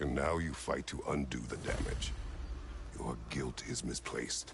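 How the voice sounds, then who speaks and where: Using a put-on character voice, a man speaks at a moderate pace with very deep, low pitch over clear background noise. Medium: video game. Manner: terse, clipped, commanding.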